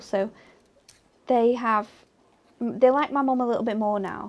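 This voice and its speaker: A woman speaks with an English accent at a moderate pace. Her intonation is fairly even. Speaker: craft demonstrator. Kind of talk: craft tutorial. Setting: studio.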